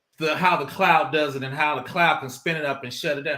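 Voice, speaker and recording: A man speaks in a raised, projected voice. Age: 50s. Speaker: cybersecurity consultant and cloud expert. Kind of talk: casual podcast chat. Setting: live-streamed podcast. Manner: casual, conversational.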